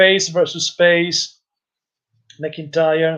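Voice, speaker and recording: A man speaks with an Italian accent at a high pitch. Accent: Italian-accented English, non-native. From Italy. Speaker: wrestling youtuber and live-stream commentator. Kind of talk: live-stream commentary and chat reading. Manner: halting, hesitant with fillers.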